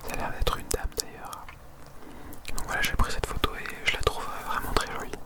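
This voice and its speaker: Whispering in a calm, relaxed tone at a fairly quick pace, the voice comes through over noticeable background noise. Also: man. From Marseille, France. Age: 20s. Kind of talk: ASMR whisper video. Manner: whispered, close to microphone.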